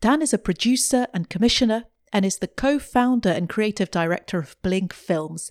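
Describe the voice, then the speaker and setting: A woman with a plain, everyday voice, medium pitch and lively intonation at a moderate pace, in a very clean, dry, close recording with no echo and a silent background. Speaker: podcast host. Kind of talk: interview.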